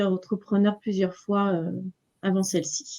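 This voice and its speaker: A woman at a fairly slow pace. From western France, Nantes region. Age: 40s. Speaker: entrepreneur, numerologist. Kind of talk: interview. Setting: live stream. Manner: hesitant, many fillers.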